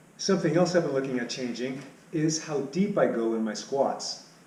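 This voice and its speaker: Man at a moderate pace amid audible room echo. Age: 60s. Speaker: cycling vlogger. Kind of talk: casual vlog update. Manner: hesitant, with fillers.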